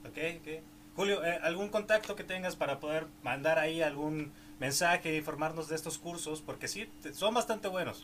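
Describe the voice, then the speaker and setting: Over noticeable background noise, a man with a fairly high pitch talks at a moderate pace with ordinary pitch variation. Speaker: podcast host. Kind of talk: interview.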